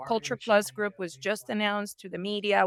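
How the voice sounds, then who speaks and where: A woman with a Spanish accent and a medium pitch speaks in a very clean recording with a silent background and a dry, close sound with no echo. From Colombia. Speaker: entrepreneur and business commentator. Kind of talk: podcast interview. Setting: airport lounge.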